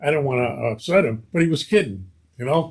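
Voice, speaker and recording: In a Brooklyn accent, a man speaks in an animated tone with very wide pitch swings. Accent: Brooklyn New York. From Brooklyn, New York (East New York). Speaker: actor. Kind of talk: casual interview chat. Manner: animated storytelling.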